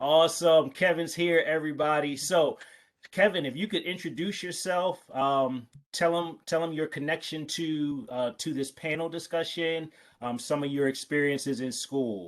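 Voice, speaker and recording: In an American accent, a man with an ordinary speaking voice talks at a moderate pace and a fairly high pitch. His pitch variation is ordinary, and the background is quiet. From Pennsylvania. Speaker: panel moderator. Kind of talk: panel moderation.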